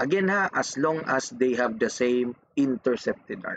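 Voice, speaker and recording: Speaking at a fairly slow pace, a man with a fairly high pitch uses lively intonation in a dry, close sound with no echo. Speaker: engineering math teacher. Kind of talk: lecture.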